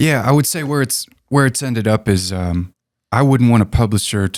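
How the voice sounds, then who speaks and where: With an American accent and a plain, everyday voice, a man talks at a moderate pace with ordinary pitch variation, in a very clean recording with a silent background and a dry, close sound with no echo. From Connecticut. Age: 30s. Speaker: touring drummer. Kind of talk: interview.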